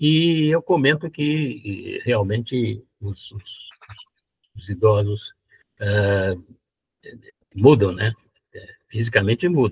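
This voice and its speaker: In a dry, close sound with no echo, a somewhat breathy man with a medium pitch speaks at a very slow pace with long, frequent pauses, lively intonation and big swings in loudness. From São Paulo, Brazil. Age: 90s. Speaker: retired engineer and blogger. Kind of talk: live interview. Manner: halting, repeats words.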